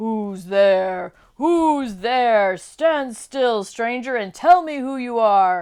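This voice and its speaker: A put-on character voice growls at a very slow pace. It hardly pauses at all. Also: woman, fairly high pitch for a woman. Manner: menacing, grizzly.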